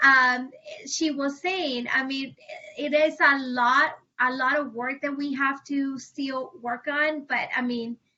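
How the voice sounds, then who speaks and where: In a Spanish accent, the speaker goes at a very slow pace with a monotone, flat intonation. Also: woman, high pitch for a woman. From Puerto Rico. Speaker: family advocate. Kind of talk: panel discussion. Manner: halting.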